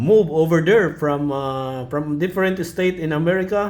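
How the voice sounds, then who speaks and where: Audible room echo surrounds a man with a Filipino accent who speaks with lively intonation. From Philippines. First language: Filipino language. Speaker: ham radio net control. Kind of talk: amateur radio net chat. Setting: radio net. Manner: halting.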